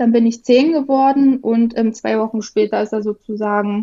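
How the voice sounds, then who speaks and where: A woman talks in a normal speaking voice. Her pitch is fairly high, with fairly even intonation. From rural Germany (village). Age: 30s. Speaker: guest sharing eating disorder experience. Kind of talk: personal testimony.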